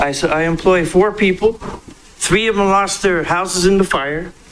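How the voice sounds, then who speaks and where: Over noticeable background noise, a man with a high voice talks at a fairly slow pace. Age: 60s. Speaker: house cleaner testifying. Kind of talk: public testimony. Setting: public hearing.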